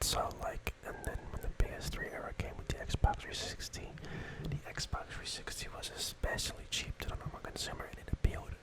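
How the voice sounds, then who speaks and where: Someone is whispering at a fairly quick pace over noticeable background noise. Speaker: ASMR creator. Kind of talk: ASMR gaming ramble. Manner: soft-spoken.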